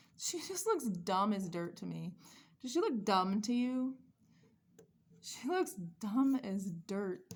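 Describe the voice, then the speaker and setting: A woman talks very slowly, leaving long, frequent pauses. Her somewhat breathy, fairly high voice swings very widely in pitch. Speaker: doll collector YouTuber. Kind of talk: casual unboxing vlog. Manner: rambling, casual.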